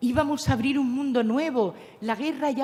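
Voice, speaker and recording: A woman's high voice moves at a moderate speed, its pitch shifting in an ordinary way. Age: 70s. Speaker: philosopher and speaker on spirituality. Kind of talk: lecture. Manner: animated.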